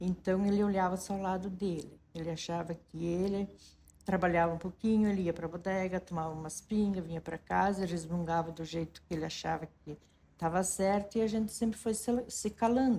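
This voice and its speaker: At a moderate pace, a woman speaks in a medium pitch with a dark, mellow tone and fairly even intonation. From southern Brazil, rural western Santa Catarina. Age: 60s. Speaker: interviewee telling life story. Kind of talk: personal testimony. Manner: halting, with self-corrections.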